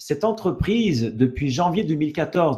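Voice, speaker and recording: A man speaks in a dark, mellow, somewhat breathy tone with lively intonation. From Canada. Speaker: network marketing presenter. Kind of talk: sales pitch webinar. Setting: online webinar. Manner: halting, many fillers and repetitions.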